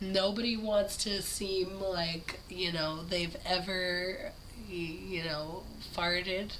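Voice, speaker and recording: Noticeable background noise runs under a woman speaking very slowly at a medium pitch with monotone, flat intonation. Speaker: movie reviewer. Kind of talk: casual talk to camera. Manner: casual, profane.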